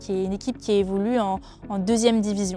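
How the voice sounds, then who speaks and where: A dark, mellow tone at a moderate pace. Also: woman. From France, Brittany (Finistère, near Brest). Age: 20s. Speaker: rugby player and PhD researcher. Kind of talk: interview testimony. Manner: hesitant, many fillers.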